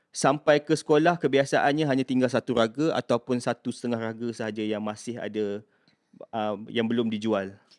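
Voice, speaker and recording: Dry and close with no echo, a man's medium-pitched voice moves at a fairly quick pace with ordinary pitch variation. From Malaysia, Kuala Kangsar, Perak. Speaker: university staff member. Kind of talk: casual interview, personal story.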